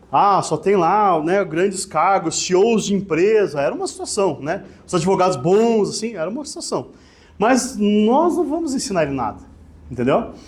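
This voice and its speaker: A high-pitched man's voice at a moderate pace, with very wide pitch swings and audible room echo. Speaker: lawyer. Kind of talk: lecture. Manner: casual, conversational.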